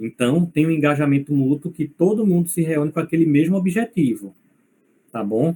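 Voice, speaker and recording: The man's voice is fairly high, with a dark, mellow tone. He sounds somewhat breathy and keeps a moderate pace. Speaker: university lecturer. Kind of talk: lecture.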